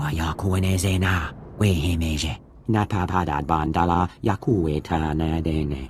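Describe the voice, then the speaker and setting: A man's put-on character voice, very deep and low in pitch, at a moderate pace with clear background noise. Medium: video game.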